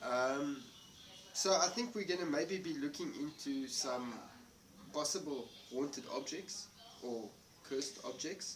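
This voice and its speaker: With lively intonation and a fairly high pitch, a man talks at a fairly slow pace with long, frequent pauses, amid noticeable background noise and audible room echo. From South Africa. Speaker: paranormal investigator. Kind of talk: casual chat. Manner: halting.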